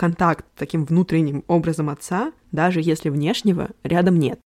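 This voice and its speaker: A woman talks at a fairly slow pace. Her tone is dark and mellow, with ordinary pitch variation. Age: young. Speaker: psychologist and family therapist. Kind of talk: solo podcast monologue. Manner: improvised, conversational.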